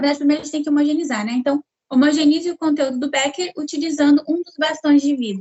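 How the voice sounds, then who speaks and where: Woman's high-pitched voice, fairly even in intonation, at a very fast pace. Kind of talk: tutorial. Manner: clear.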